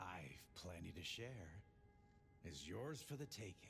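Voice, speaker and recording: Using a put-on character voice, a man speaks at a fairly slow pace with a very deep, low pitch over clear background noise. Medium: video game. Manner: drawling, cryptic.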